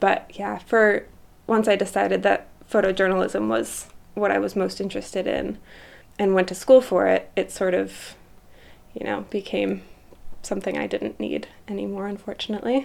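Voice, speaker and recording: This woman speaks at a moderate pace with an American accent. She leaves long, frequent pauses. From Vermont, US. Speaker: photographer. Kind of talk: interview.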